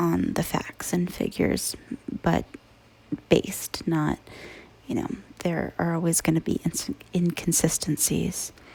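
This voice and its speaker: The speaker whispers with long, frequent pauses, keeping a fairly slow pace. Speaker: ASMR creator. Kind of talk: ASMR true crime narration. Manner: soft-spoken and whispered.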